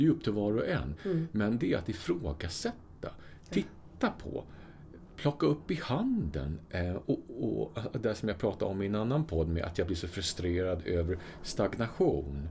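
With a dark, mellow tone and a somewhat breathy quality, a man talks at a moderate pace in a fairly low pitch, his voice swinging very widely up and down. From Sweden. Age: 50s. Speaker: podcast co-host. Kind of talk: casual chat.

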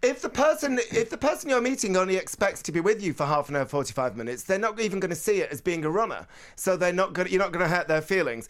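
A man with a northern English accent talks very fast in an energetic tone at a high pitch, with very wide pitch swings and hardly any pauses, on a very clean recording with a silent background. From northern England. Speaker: radio presenter and novelist. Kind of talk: casual chat. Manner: fast talker.

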